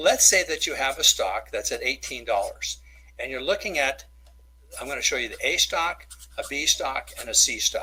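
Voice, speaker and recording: The speaker is a man talking at a moderate pace. His loudness swings widely. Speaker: stock market educator. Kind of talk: webinar presentation. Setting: webinar with camera. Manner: animated.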